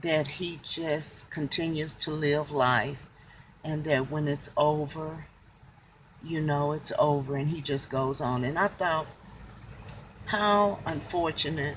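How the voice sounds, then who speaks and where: Somewhat breathy and calm, a woman speaks at a very deep, low pitch. Her pace is very slow. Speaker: family devotional vlogger. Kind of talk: devotional talk.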